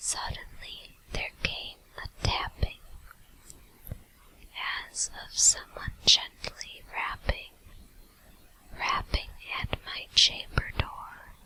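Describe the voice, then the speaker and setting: Whispering at a very slow pace with long, frequent pauses, a woman's loudness swings widely over noticeable background noise. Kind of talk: ASMR whisper video. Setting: USB microphone at home computer. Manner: whispered, soft.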